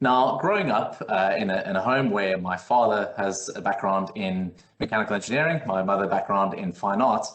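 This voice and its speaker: A man speaks with a South African accent and ordinary pitch variation. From South Africa, Cape Town. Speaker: technical consultant. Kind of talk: webinar presentation. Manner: hesitant, many fillers.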